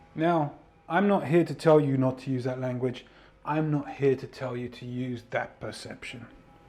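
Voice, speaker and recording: A man speaks at a medium pitch, his loudness swinging widely. Music plays in the background. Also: moderate pace. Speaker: podcast host and mindset coach. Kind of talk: solo podcast monologue. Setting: home studio. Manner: energetic.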